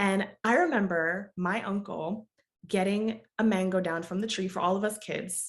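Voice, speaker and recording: A woman speaks at medium pitch with an American accent. Her intonation stays fairly even at a moderate pace. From US, Jamaican mother, childhood visits to Jamaica. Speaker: project management coach, business owner. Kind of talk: podcast interview.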